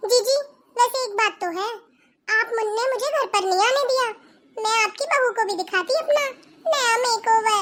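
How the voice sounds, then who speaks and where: In a cartoonish character voice, a woman speaks at an extremely high pitch, leaving long, frequent pauses. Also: moderate pace. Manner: chatty, easygoing.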